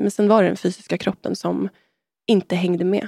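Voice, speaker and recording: With a dark, mellow tone and ordinary pitch variation, a woman speaks at a moderate pace in a very clean recording with a silent background and a dry, close sound with no echo. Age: 30s. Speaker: artist and sound healer. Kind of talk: personal testimony in casual chat.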